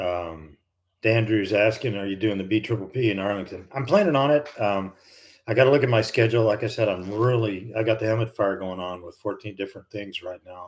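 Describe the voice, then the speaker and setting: On a very clean recording with a silent background, a man with an American accent speaks at a fairly quick pace. His voice is fairly low in pitch with ordinary pitch variation and big swings in loudness. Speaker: retired airline and fighter pilot, flight instructor. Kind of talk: live stream chat. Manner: casual, halting with fillers.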